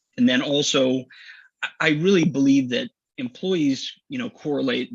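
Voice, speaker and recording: A man speaks with a Midwestern American accent. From Missouri, US. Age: 40s. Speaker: business executive. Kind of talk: casual interview. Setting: live stream.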